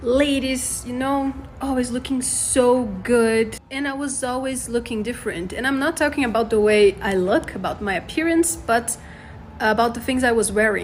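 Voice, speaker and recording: Against noticeable background noise, a woman speaks at a moderate pace in a high voice with ordinary pitch variation. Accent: Portuguese. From Brazil. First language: Portuguese. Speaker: expat sharing experiences. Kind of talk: casual vlog list.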